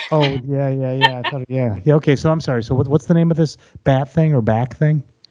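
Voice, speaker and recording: With an American accent, a man talks at a fairly quick pace in an unremarkable speaking voice, fairly high-pitched for a man, with fairly even intonation. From US Midwest. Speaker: podcast co-host. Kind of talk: casual interview banter.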